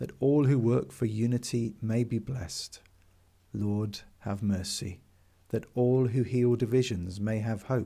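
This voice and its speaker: Speaking at a fairly slow pace with an English accent, a man uses a dark, mellow tone at medium pitch with ordinary pitch variation. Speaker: priest leading daily prayer. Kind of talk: fervent intercessory prayer, led aloud to listeners. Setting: video recording for online worship. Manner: slow, hushed and reverent, with pauses; earnest, heartfelt, a little hesitant.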